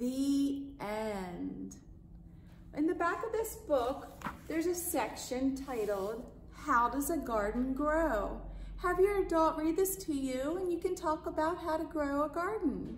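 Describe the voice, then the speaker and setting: Very slow speech over light background noise, with audible room echo. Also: woman, high pitch for a woman. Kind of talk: storytime read-aloud and greeting. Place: home room. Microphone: phone near.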